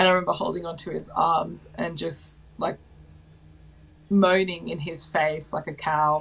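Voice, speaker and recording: Speaking at a moderate pace with an Australian accent, a woman uses a fairly low pitch with vocal fry and monotone, flat intonation, leaving long, frequent pauses. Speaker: mother sharing birth stories. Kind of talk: personal storytelling interview. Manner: loud by nature; casual, many fillers.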